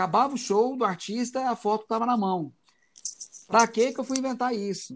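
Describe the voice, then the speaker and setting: A man's extremely high voice at a moderate pace, with ordinary pitch variation and long, frequent pauses. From Goiás, Brazil. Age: 40s. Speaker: concert photographer and musician. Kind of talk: casual interview.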